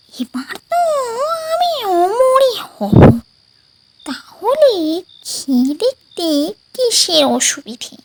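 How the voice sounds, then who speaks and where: This cartoonish character voice sits at an extremely high pitch with very wide pitch swings. It moves at a very slow pace. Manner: sing-song, cackling taunts.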